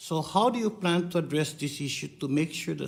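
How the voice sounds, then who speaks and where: In a very clean recording with a silent background, a man with a Guam accent speaks at a moderate pace with vocal fry and lively intonation. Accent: Pacific Islander (Chamorro) English. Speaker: congressman questioning a witness at a hearing. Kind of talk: committee hearing questioning. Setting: congressional hearing room. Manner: insistent, interrupting.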